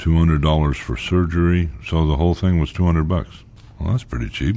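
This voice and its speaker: The man talks in a very deep, low pitch, keeping a moderate pace. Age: 50s. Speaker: lobotomy survivor. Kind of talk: documentary narration.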